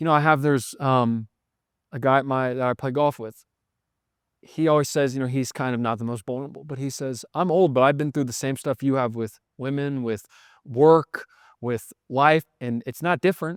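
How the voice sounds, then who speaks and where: A man talks at a moderate pace and medium pitch, his intonation fairly even. The sound is dry and close with no echo, in a very clean recording with a silent background. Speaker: podcast host and recovery coach. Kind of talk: casual chat. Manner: loud.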